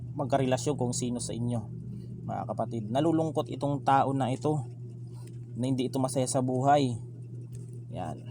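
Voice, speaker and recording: With long, frequent pauses and audible room echo, a man speaks at medium pitch and a moderate pace in a monotone, flat intonation. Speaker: tarot card reader. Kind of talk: tarot reading monologue. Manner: soft-spoken; halting, many fillers. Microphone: no proper microphone, voice too quiet.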